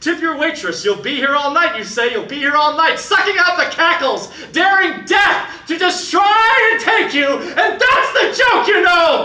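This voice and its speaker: Raising and projecting his voice over noticeable background noise, a man speaks fairly slowly at an extremely high pitch with very wide pitch swings. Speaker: slam poet. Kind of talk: slam poetry performance.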